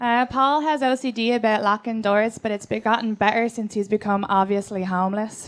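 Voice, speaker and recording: A woman with an Irish accent, fairly high-pitched, with fairly even intonation, talking fairly fast with hardly any pauses, in a very clean recording against a silent background. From Ireland. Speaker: comedian. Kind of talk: comedy roast.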